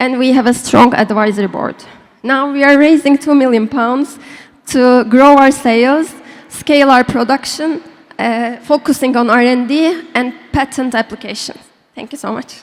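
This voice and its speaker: Speaking with a non-native accent, a woman uses a high pitch and fairly even intonation. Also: moderate pace. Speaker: startup founder pitching. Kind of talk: pitch and Q&A. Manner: halting.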